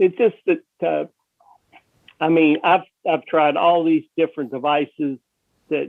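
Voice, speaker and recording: A man speaks at a fairly high pitch. His pace is fairly slow. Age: 60s. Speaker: patient with XLRP. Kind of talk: testimony. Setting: video call. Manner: halting.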